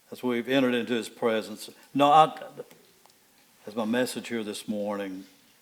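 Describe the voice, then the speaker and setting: Over noticeable background noise, a man with a medium-pitched voice speaks at a moderate pace with fairly even intonation and long, frequent pauses. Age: 70s. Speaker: pastor. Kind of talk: sermon. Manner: halting, repeats words.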